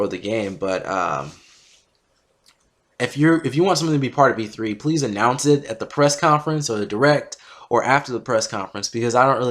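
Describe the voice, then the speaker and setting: A man's very fast delivery with lively intonation, on a very clean recording with a silent background. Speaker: gaming commentator. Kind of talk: casual talk to camera. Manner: stuttering, hesitant.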